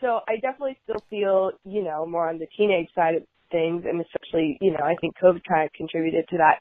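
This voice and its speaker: Delivered at a very fast pace, the speech shows ordinary pitch variation. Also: woman, fairly low pitch for a woman. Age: young. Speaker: listener leaving voicemail. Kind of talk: voicemail message. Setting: phone voicemail. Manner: halting.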